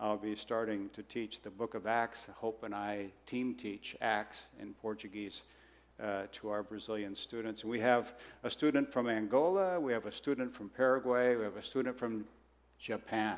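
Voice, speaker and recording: On a very clean recording with a silent background, a man speaks in a normal speaking voice at medium pitch with fairly even intonation. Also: moderate pace. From Brazil, raised by American missionary parents. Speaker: missionary. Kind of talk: sermon. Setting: church.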